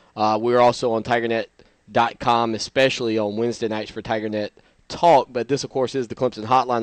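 The tone is clear and smooth, delivered at a fairly quick pace. The sound is dry and close, with no echo. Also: man.

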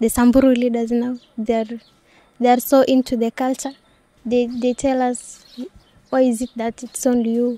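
At a moderate pace, a woman with a Kenyan accent speaks in a high pitch with monotone, flat intonation, the sound dry and close with no echo. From Wamba, Kenya. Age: young. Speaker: anti-FGM community activist. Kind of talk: interview answer.

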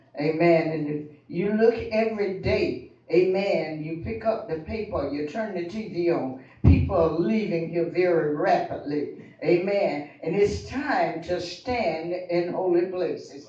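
In a room with audible echo, a high-pitched man speaks at a fairly slow pace with ordinary pitch variation. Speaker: speaker. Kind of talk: prayer testimony. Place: church.

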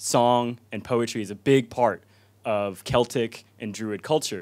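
A man's fairly slow speech with ordinary pitch variation against a quiet background. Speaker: speaker. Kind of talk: informal talk to audience. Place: hall. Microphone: handheld.

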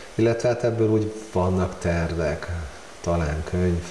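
Amid light background noise and audible room echo, a man with a very deep, low pitch speaks at a moderate pace with fairly even intonation. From Hungary. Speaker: amateur photographer. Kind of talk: casual interview. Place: home room. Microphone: lapel.

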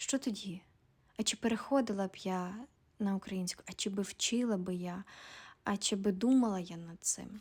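On a very clean recording with a silent background, a woman speaks at medium pitch in a somewhat breathy voice, at a moderate pace with ordinary pitch variation and long, frequent pauses. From Ukraine, Volyn region. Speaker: video blogger. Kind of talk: personal monologue.

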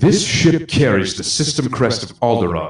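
Putting on a growling character voice, a man speaks at medium pitch and a moderate pace with very wide pitch swings and a slight echo. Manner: growling, threatening.

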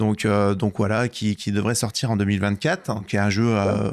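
At a moderate pace, a plain, everyday voice carries on. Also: man. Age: 40s. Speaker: podcast host. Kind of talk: casual chat.

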